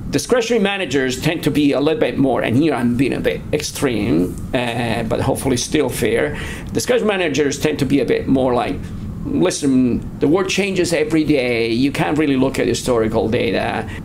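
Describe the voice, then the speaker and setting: In an Italian accent, a man speaks at a fairly quick pace with lively intonation amid noticeable background noise. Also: fairly high pitch for a man, very even loudness. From Italy. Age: 50s. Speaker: asset management firm founder and research director. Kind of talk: interview. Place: office.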